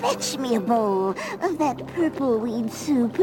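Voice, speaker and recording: A cartoonish character voice with a fairly high pitch speaks at a fairly slow pace. Loud background noise runs underneath. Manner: cackling, bossy.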